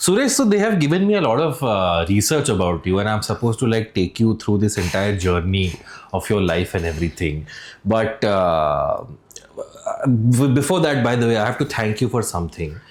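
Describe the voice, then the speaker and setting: Over noticeable background noise, a man with a fairly low pitch speaks at a moderate pace, with lively intonation and very even loudness. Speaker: podcast host. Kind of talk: casual interview.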